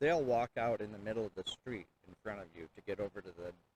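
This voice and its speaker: Recorded dry and close with no echo, a man with an unremarkable speaking voice talks at a medium pitch with ordinary pitch variation. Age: 60s. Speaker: city council candidate. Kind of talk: interview. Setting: outdoors by a river and falls.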